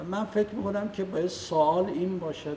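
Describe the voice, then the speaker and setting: Somewhat breathy, a man talks in an Isfahani accent at a moderate pace. Audible room echo fills the space. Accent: Isfahani Persian. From Iran, Isfahan. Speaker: political activist. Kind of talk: public talk. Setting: meeting hall with audience.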